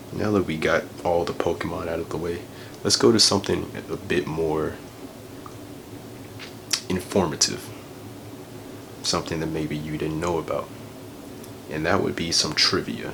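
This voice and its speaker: Soft-spoken, a man talks with a very deep, low pitch and fairly even intonation at a moderate pace. Long, frequent pauses break up his speech amid noticeable background noise. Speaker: ASMR creator. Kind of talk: ASMR ramble. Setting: lo-fi home recording in a bedroom. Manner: soft-spoken, casual.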